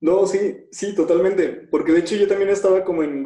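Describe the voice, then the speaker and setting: A man speaks with a Mexican accent. His tone is dark and mellow. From Mexico. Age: 20s. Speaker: social entrepreneur and speaker. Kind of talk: casual interview. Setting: video call.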